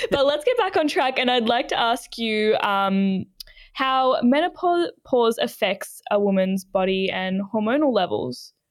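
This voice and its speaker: Her intonation is lively. The woman speaks with an Australian accent. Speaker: podcast host. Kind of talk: interview, casual chat.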